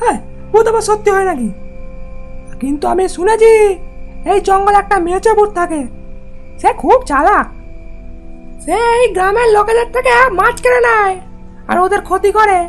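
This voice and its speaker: A cartoonish character voice speaks at a moderate pace. Clear music plays in the background. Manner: halting, with drawn-out hesitations.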